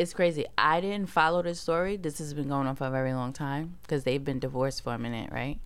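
A woman with a very deep, low pitch and a New York accent, talking at a very fast pace. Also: ordinary pitch variation. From Brooklyn, New York. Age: young. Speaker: podcast co-host. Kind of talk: casual chat.

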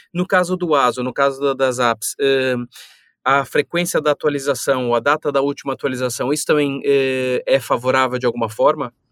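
In a very clean recording with a silent background and a dry, close sound with no echo, a man speaks at a moderate pace. He has an unremarkable speaking voice, fairly high in pitch, with fairly even intonation and very even loudness. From São Paulo, Brazil. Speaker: podcast co-host. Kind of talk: casual podcast chat.

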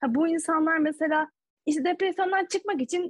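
A woman talking at a fairly quick pace. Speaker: podcast co-host and doctoral student. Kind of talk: casual chat.

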